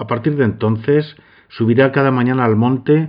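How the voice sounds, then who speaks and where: A man talks at a moderate pace with ordinary pitch variation in a plain, everyday voice. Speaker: podcast host and narrator. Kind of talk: scripted narration with biographical commentary.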